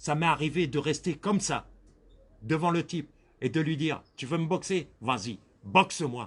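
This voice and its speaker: At a moderate pace, a man talks with a fairly high pitch and ordinary pitch variation. He leaves long, frequent pauses, and his loudness swings widely. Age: 60s. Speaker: victim of racial harassment. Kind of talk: interview testimony.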